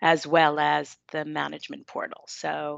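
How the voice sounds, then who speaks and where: A woman with a slight New York accent and a dry, close sound with no echo. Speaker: software company presenter. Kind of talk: product presentation.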